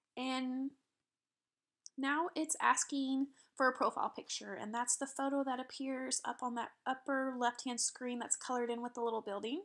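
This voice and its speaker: Her intonation fairly even, a woman speaks at a high pitch. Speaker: social media tutorial presenter. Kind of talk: tutorial. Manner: fast.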